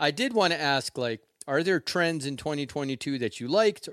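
A man with an ordinary speaking voice talks at a fairly quick pace and fairly high pitch. His intonation is lively, and the sound is dry and close with no echo. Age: 50s. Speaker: podcast host. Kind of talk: casual chat. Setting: video call.

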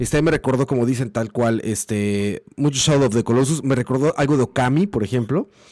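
A man speaks with a dark, mellow tone. His pitch is medium, with ordinary pitch variation. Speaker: video game commentator. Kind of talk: casual chat.

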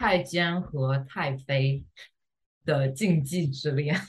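The speaker is a woman. There is some breathiness in her voice. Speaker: podcast co-host. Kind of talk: casual chat.

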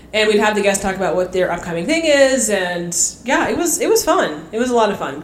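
Amid noticeable background noise and audible room echo, a woman's voice moves in very wide pitch swings. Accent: American. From California. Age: 30s. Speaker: phlebotomist. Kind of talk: casual chat.

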